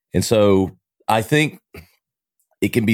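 A man's voice, very cleanly recorded against total silence, with a dry, close sound and no echo. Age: 40s. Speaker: marketing agency owner, podcaster. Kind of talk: casual interview conversation. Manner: jovial, laughs often.

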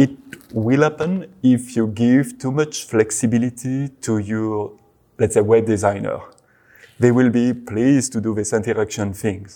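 A man's medium-pitched voice with a French accent, dark and mellow in tone, at a fairly slow pace with ordinary pitch variation. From France. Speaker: search engine web crawling team lead. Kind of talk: interview.

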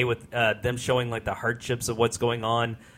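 Someone is shouting, loud and clear. The tone is bright and sharp. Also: man. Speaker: podcast host. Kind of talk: casual podcast chat. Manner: loud, tends to yell.

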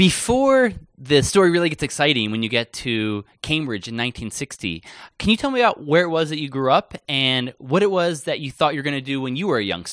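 Against a quiet background, a man with a fairly high pitch talks at a fairly quick pace, his voice swinging very widely in pitch. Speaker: podcast host. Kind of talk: interview.

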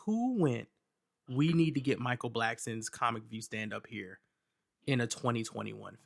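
A man's medium-pitched voice with an American accent, at a moderate pace. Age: 30s. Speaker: podcast host. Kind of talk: casual chat. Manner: animated.

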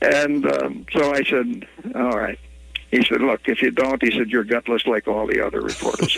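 A man with an Upper Midwest accent at a moderate pace, amid noticeable background noise. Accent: Upper Midwest American. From Minnesota (Ely). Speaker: journalist. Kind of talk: storytelling interview.

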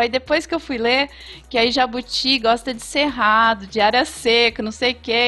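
Her intonation is fairly even. The woman's voice sits high in pitch. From Ribeirão Preto, São Paulo interior. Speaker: veterinarian. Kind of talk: casual chat.

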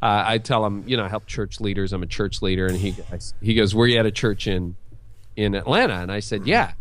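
A man with a normal speaking voice, fairly low in pitch, at a fairly quick pace. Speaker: pastor. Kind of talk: interview.

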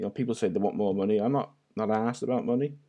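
The tone is dark and mellow, with fairly even intonation. The background is quiet. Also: man. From North Wales. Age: 40s. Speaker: web designer. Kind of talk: casual chat.

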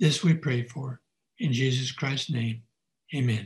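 Here a man talks at a moderate pace with a medium pitch. His voice is somewhat breathy. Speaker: person giving prayer. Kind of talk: prayer.

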